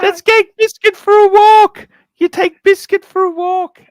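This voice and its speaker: This is a put-on character voice at an extremely high pitch. It moves at a moderate pace with monotone, flat intonation. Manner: cutesy doting.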